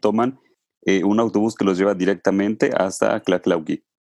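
In an ordinary speaking voice, a man talks at a fairly low pitch. The sound is dry and close, with no echo. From Mexico, Puebla state. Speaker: travel podcast host. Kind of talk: casual interview.

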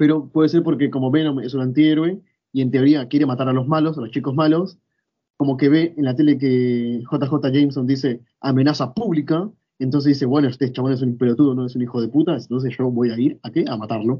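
With a Rioplatense accent, a man of medium pitch talks at a fairly quick pace with fairly even intonation. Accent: Argentine Rioplatense Spanish. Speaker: podcast co-host. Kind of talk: casual chat.

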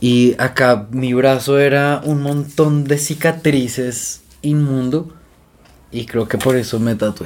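A man talks very slowly, his medium-pitched voice holding fairly even intonation. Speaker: podcast co-host. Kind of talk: casual chat.

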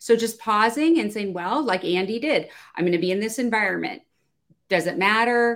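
In a normal speaking voice, a woman speaks at a moderate pace and a fairly high pitch with lively intonation. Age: 50s. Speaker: business owner, client service consultant. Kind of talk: panel discussion. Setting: video call.

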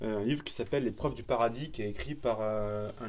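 At a moderate pace, a man with a fairly low pitch speaks amid audible room echo. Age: 20s. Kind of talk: casual chat.

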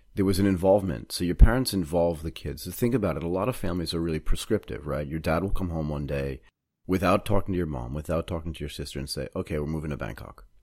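A man with an American accent talks at a very fast pace in a very deep, low pitch, with vocal fry and big swings in loudness. The recording is very clean, with a silent background. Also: ordinary pitch variation. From Boston, US Northeast. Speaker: podcast host. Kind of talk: casual interview.

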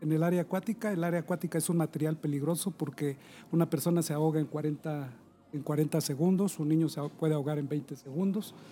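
The voice has a dark, mellow tone and fairly even intonation at a very fast pace. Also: man, fairly high pitch for a man. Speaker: rescue coordinator. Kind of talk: casual chat.

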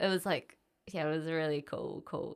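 A woman speaks with a New Zealand accent in a very deep, low pitch. The recording is very clean, with a silent background. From New Zealand, Auckland. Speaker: music journalist and DJ. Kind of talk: casual interview.

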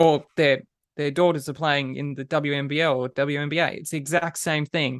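With an Australian accent, a man talks at a fairly slow pace in a fairly high pitch, his tone bright and sharp and his intonation fairly even, the sound dry and close with no echo. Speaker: basketball podcast co-host. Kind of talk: casual chat.

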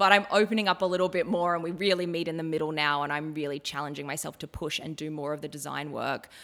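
A woman rushes along at a very fast pace with hardly any pauses, her very deep, low voice held to fairly even intonation. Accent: Australian. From Australia, northern New South Wales (Ballina). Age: 30s. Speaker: fashion and costume designer. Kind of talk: interview conversation.

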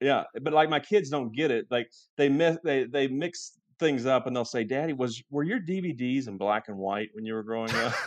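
A man with a Southern US accent at medium pitch, moderate pace and lively intonation. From Kentucky. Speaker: real estate appraiser and realtor. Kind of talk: casual interview chat.

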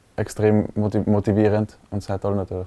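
The speaker is a man. His tone is dark and mellow. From Tyrol, Austria (Innsbruck). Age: 20s. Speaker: American football player and medical student. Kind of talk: interview. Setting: studio.

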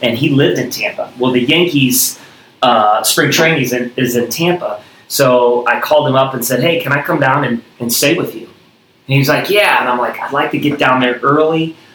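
A man with an American accent talks at a moderate pace with fairly even intonation over noticeable background noise. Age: 40s. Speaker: gym owner and former baseball player. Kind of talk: casual interview.

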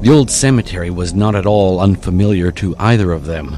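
Over music in the background, a man with a very deep, low pitch speaks in a dramatic, animated tone at a moderate pace with ordinary pitch variation. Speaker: horror story narrator. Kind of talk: horror story narration. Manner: hushed, suspenseful, dramatic pacing; animated, switching into character voices.

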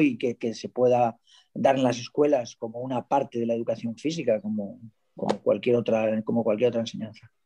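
A man's dark, mellow tone comes at a moderate pace. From Valencia, Spain. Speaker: schoolteacher, audience participant. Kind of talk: casual chat.

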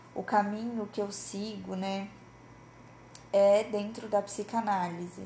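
A woman's somewhat breathy, fairly high voice with a dark, mellow tone, at a very slow pace. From Brazil, interior of Paraná. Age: 20s. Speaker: psychologist and podcast host. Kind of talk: casual solo podcast monologue.

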